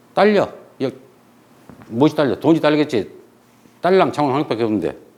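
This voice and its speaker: A man's fairly high voice, fairly quick, with lively intonation and an animated tone. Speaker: history teacher. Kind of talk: lecture. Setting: classroom with blackboard. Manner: fast.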